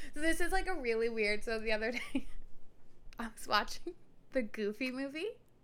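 A woman speaks at a fairly quick pace with long, frequent pauses, her high pitch and lively intonation set in audible room echo. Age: 20s. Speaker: podcast co-host. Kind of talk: casual chat. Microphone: echo on recording.

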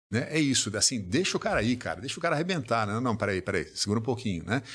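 On a very clean recording with a silent background, the speaker talks at a very fast pace with lively intonation. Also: man. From Brazil. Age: 60s. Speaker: business executive and author. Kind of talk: podcast interview.

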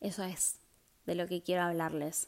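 The voice belongs to a woman with a medium pitch. Her recording is very clean, with a silent background. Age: 20s. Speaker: podcast host. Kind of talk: casual monologue. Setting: at home. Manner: casual, chatty.

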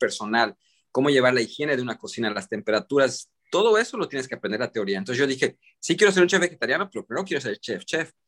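A man's fairly high voice with lively intonation at a very fast pace, dry and close with no echo, on a very clean recording over a silent background. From Mexican-American, raised in US and Mexico. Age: 40s. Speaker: vegan chef. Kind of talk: casual interview. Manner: halting, repeats words.

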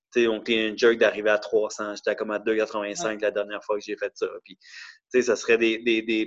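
The speech runs at a moderate pace against a quiet background. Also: man. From Quebec, Montreal and Laval. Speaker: CrossFit athlete, office worker. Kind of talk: casual interview.

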